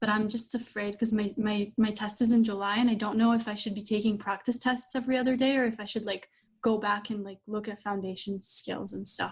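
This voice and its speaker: Fairly high-pitched and in a non-native accent, a woman talks at a fairly quick pace with hardly any pauses and a monotone, flat intonation. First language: not English. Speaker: law school applicant. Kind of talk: coaching call. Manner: hesitant, filler-heavy.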